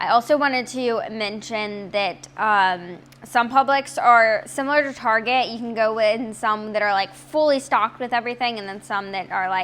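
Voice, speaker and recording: A woman with an ordinary speaking voice speaks at a moderate pace in a fairly high pitch, her pitch varying in an ordinary way while her loudness swings widely. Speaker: health and nutrition vlogger. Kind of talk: tutorial.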